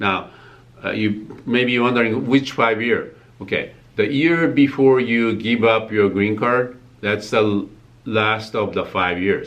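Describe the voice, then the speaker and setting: Audible room echo surrounds a man with a Japanese accent who speaks at a fairly slow pace and medium pitch. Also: ordinary pitch variation. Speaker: tax accountant. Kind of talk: tutorial. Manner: halting, many fillers.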